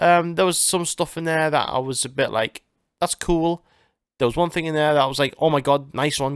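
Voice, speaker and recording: Speaking at a moderate pace in a northern English accent, a man with a fairly high voice is heard in a very clean recording with a silent background and a dry, close sound with no echo. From northern England. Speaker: gaming and music podcast host. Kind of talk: casual chat. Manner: hesitant, many fillers.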